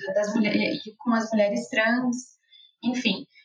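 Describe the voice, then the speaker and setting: A woman speaks in a plain, everyday voice at a fairly high pitch. Her pace is moderate. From Brazil, interior of Rio Grande do Sul. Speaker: nutritionist. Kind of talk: casual chat.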